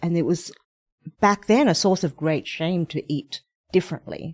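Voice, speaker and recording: With an Australian accent, a woman speaks at a moderate pace and a fairly low pitch. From Australia (Sydney). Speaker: cookbook author. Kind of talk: interview. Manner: conversational, hesitant fillers.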